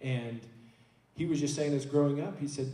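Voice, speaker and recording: A man's fairly high, somewhat breathy voice with a dark, mellow tone, fairly even intonation, an Oklahoma accent, a moderate pace and audible room echo. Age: 30s. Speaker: church elder. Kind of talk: church panel discussion. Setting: church. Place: church.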